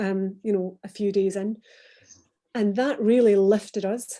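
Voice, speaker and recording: A woman speaks at a medium pitch with a Glaswegian accent. Her intonation stays fairly even. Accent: Glaswegian Scottish. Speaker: former business executive. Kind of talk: online panel interview. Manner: hesitant, many fillers and repeats.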